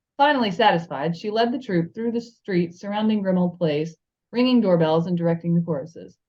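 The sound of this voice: The pitch of an unforced reading voice varies in an ordinary way over a quiet background.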